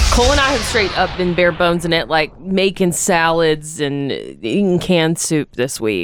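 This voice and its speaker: A woman's fairly low voice at a moderate pace, with lively intonation, very even loudness and hardly any pauses, over music in the background. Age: 30s. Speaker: radio host. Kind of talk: morning radio show.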